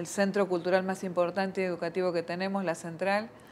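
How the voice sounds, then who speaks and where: In an Argentine accent, the speaker moves at a fairly quick pace with monotone, flat intonation. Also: woman. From Argentina. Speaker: missionary nun. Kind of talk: interview.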